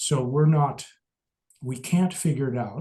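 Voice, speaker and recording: In an American accent, a somewhat breathy voice with a dark, mellow tone speaks at a fairly slow pace with ordinary pitch variation. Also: man. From US Midwest. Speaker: Buddhist teacher. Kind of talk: lecture.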